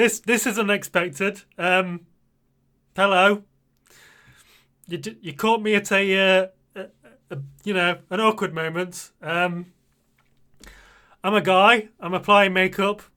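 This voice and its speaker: A man's raised, projected voice in a British accent, high in pitch and bright and sharp in tone, at a fairly slow pace with long, frequent pauses and big swings in loudness. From Britain. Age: 40s. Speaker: streamer. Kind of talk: makeup tutorial livestream. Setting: live stream. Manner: animated.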